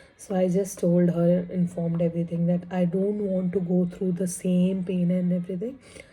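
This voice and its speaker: A woman's fairly low, somewhat breathy voice with a dark, mellow tone, monotone and flat, very even in loudness, with hardly any pauses. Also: moderate pace. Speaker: vlogger. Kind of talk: casual vlog.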